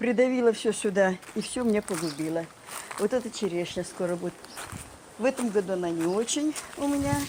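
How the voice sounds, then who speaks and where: A woman talks at a moderate pace with lively intonation, and there is noticeable background noise. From Kamchatka, Russian Far East. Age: old. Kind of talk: interview answer. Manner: reflective, warm.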